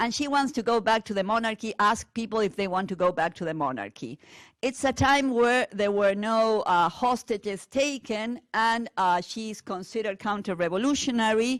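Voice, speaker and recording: A woman with a Spanish accent and a fairly high pitch, moderate pace, ordinary pitch variation, and a very clean recording with a silent background. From Argentina. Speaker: teacher. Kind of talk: lecture. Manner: hesitant with fillers.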